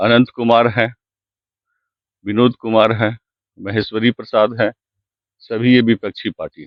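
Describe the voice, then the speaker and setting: A man of medium pitch speaks in a flat monotone with big swings in loudness and long, frequent pauses. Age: 60s. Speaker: complainant landowner. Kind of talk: interview.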